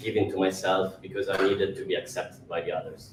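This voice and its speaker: Over noticeable background noise, a man with an Italian accent speaks at a fairly low pitch with fairly even intonation. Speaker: actor. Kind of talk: public talk. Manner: halting.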